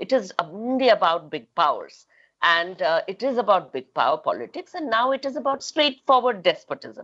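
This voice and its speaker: A woman's fairly high voice with vocal fry and an Indian accent, very wide pitch swings and a moderate pace. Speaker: feminist activist and author. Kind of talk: panel talk. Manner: halting, many fillers.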